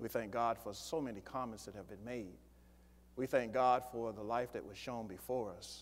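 With fairly even intonation, a man delivers his words at a moderate pace. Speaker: pastor. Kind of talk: sermon. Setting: church. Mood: warm, solemn. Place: church.

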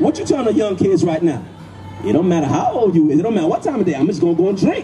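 A man speaks over clear music in the background. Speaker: street preacher. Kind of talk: street preaching. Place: street. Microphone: handheld.

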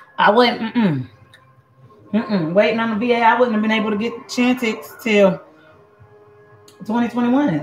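Moderate pace with long, frequent pauses and ordinary pitch variation, music in the background. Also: woman, fairly high pitch for a woman. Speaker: cooking show host. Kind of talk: casual cooking video chat. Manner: animated.

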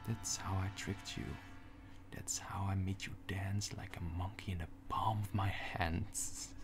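Clear music plays in the background as a man speaks at a fairly slow pace and a fairly low pitch, in a flat monotone. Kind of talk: dramatic character monologue. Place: home room. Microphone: phone near.

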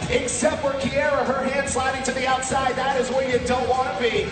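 A man speaks at a moderate pace with audible room echo. Loud music plays in the background. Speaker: ring announcer, commentator, host. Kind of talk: game show host and play-by-play commentary. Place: stage. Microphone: headset.

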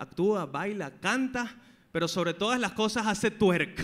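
The man has a bright, sharp tone. His intonation is lively. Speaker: podcast host. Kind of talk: show host introduction to live audience. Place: stage. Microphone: handheld.

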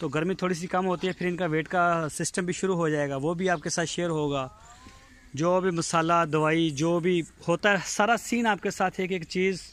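A man with a high-pitched voice is heard in a dry recording with no echo. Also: moderate pace. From Pakistan, Punjab (Bahawalpur district); Punjab, Pakistan. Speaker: cattle farmer and vlogger. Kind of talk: walkthrough video tour with sales pitch. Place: farm. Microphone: phone near.

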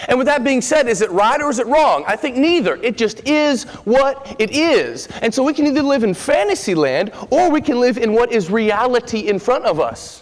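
The man's voice is extremely high in pitch, with lively intonation. He keeps a moderate pace with hardly any pauses. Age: 30s. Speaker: preacher. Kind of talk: sermon. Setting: church. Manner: animated. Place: church. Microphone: podium.

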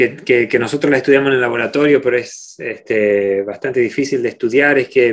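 Against a quiet background, a man talks at a medium pitch with ordinary pitch variation. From Argentina, Rosario; Argentina. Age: 40s. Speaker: microbiology professor; guest. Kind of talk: Q&A talk; interview answer. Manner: halting, many repeated words. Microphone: video call.

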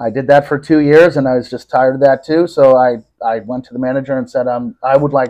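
Over a quiet background, a man talks at a fairly quick pace with monotone, flat intonation. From Connecticut, US. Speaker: business owner. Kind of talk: interview, personal story. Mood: reflective, serious in places. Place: home room. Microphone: lapel.

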